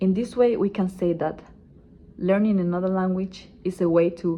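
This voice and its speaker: Fairly even intonation from a woman, delivered at a moderate pace. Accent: Spanish. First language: Spanish. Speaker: student. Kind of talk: class presentation speech.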